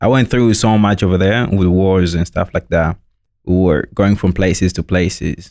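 A man at a moderate pace, with a very deep, low pitch and ordinary pitch variation. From Democratic Republic of the Congo. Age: 20s. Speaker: university student and youth mentor. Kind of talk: interview.

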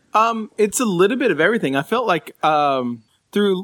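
Lively in intonation, a man with an ordinary speaking voice talks at a fairly quick pace in a dry, close sound with no echo. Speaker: musician. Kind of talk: casual conversation.

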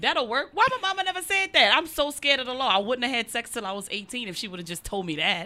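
A woman talks at a very fast pace in a high-pitched voice, her pitch swinging very widely. She hardly pauses at all, and background noise is noticeable. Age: 30s. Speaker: comedian podcast co-host. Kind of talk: casual chat. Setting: garage.

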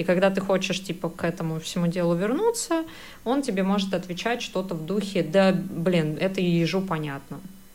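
A woman at a moderate pace, medium pitch and ordinary pitch variation, with noticeable background noise. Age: 30s. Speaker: podcast co-host, advertising professional. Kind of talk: casual chat.

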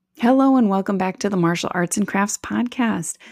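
A woman speaks at a medium pitch, and her pitch varies in an ordinary way. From US Midwest, Wisconsin. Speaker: podcast host, life coach. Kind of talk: interview. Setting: remote call.

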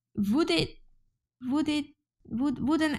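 On a very clean recording with a silent background, a woman with a Hungarian accent speaks in a dark, mellow, somewhat breathy tone. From Hungary. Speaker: journalist. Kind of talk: interview.

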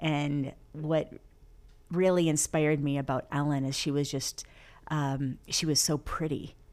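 A woman with a very deep, low pitch speaks in an American accent at a fairly slow pace. Her intonation is a flat monotone, and the recording is very clean with a silent background. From US Midwest, Flint, Michigan. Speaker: stand-up comedian and actress. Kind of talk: casual interview chat.

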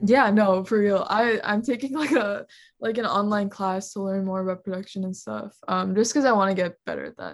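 A plain, everyday voice from a woman with an American accent, medium pitch and ordinary pitch variation, at a fairly quick pace in a very clean recording with a silent background. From US Midwest, Ohio. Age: young. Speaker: singer-songwriter and college student. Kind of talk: casual chat.

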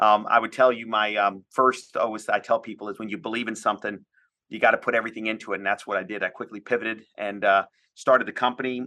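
With an American accent, the speaker talks very fast in a bright, sharp tone. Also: man. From US, Washington DC area, Indian family. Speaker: tech company founder and CEO. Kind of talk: interview. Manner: animated.

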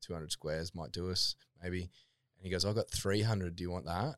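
A man with a very deep, low pitch and an Australian accent, at a fairly quick pace. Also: dry, close sound with no echo. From Queensland, Australia (Toowoomba). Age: 30s. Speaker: fitness equipment business founder. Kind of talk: casual chat. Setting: studio.

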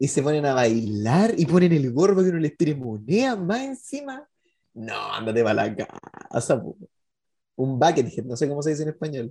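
The speaker has a Chilean accent. The delivery comes at a fairly slow pace. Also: man, fairly high pitch for a man, lively intonation. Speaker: podcast co-host. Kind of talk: casual chat.

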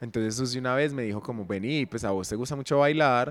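In a normal speaking voice, a man talks at a fairly quick pace. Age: 20s. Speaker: dancer and dance teacher. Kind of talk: casual chat. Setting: gym.

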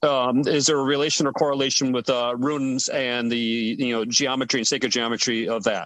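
The man uses an ordinary speaking voice and keeps to a moderate pace. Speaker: roundtable participant. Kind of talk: casual roundtable discussion. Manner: polite.

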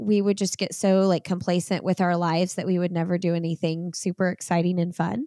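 A woman with a Midwestern US accent at a moderate pace, in a very clean recording with a silent background and a dry, close sound with no echo. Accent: US Midwest. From Indiana, US Midwest. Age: 30s. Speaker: podcast host and running coach. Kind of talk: casual chat.

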